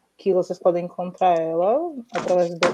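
A woman's dark, mellow tone at a fairly low pitch. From Bahia, Brazil. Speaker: writer and teacher. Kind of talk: casual chat.

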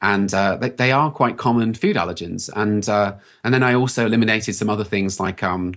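With a British accent and a fairly low voice, a man speaks over a quiet background. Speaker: health practitioner. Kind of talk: casual interview.

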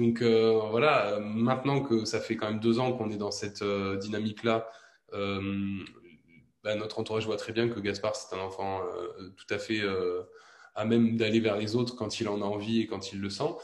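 A man speaks in a fairly low, monotone voice with flat intonation at a fairly slow pace, with audible room echo around him. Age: 20s. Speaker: stay-at-home father. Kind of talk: interview.

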